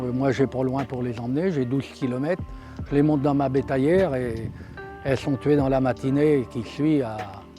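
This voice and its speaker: Music plays in the background as a man speaks at a medium pitch with ordinary pitch variation. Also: moderate pace. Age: 70s. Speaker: cattle farmer. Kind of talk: interview answer.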